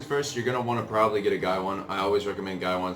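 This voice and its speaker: Clear music plays in the background while a man talks at a very fast pace. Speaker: tea brewing enthusiast. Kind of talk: casual tutorial talk to camera; tutorial. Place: home room. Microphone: camera far.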